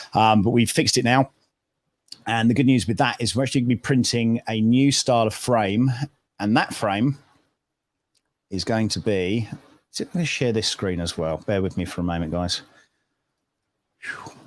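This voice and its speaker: A man with an American accent, medium pitch, ordinary pitch variation and a moderate pace, with long, frequent pauses, on a very clean recording with a silent background. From United Kingdom. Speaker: maker and livestreamer. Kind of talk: casual livestream chat. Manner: halting, many fillers. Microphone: new microphone.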